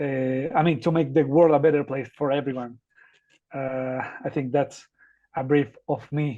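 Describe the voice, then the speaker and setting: With a Spanish accent, a man talks at a fairly slow pace and a fairly high pitch, leaving long, frequent pauses. His intonation is monotone and flat. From Ecuador. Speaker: academic researcher and volunteer. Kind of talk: podcast interview. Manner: halting, many fillers.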